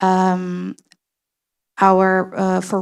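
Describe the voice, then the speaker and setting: Recorded very cleanly against a silent background. A woman speaks at a medium pitch. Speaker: poker industry panelist. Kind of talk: panel discussion. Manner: halting, many fillers.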